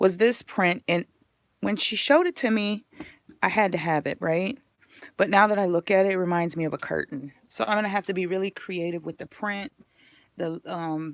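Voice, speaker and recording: A woman's ordinary speaking voice at medium pitch, moderate pace and ordinary pitch variation, dry and close with no echo, on a very clean recording with a silent background. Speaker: sewing YouTuber. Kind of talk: casual haul video.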